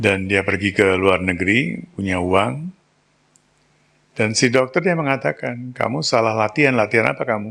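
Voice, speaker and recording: Lively intonation and vocal fry from a man with a fairly low pitch, at a moderate pace. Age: 60s. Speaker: spiritual teacher. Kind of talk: spiritual talk.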